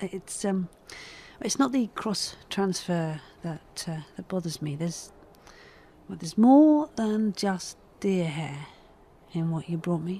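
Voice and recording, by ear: A woman speaks slowly in a put-on character voice, fairly low-pitched with a slightly husky edge and a dark, mellow tone, her intonation lively and broken by long, frequent pauses.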